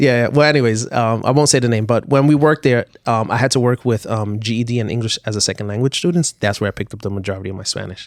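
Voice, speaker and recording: A man with a New York accent, talking very fast with hardly any pauses, in a dry, close sound without echo. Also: medium pitch for a man, ordinary pitch variation. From New York (came from Puerto Rico at four). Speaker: podcast guest. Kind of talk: casual chat.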